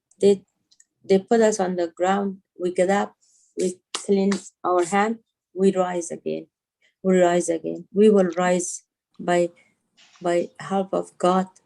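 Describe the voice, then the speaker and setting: Speaking at a very slow pace with long, frequent pauses, a woman keeps a monotone, flat intonation in a dark, mellow tone at medium pitch. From Afghanistan, Kandahar. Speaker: women's rights activist. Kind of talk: interview. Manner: slower than usual; halting.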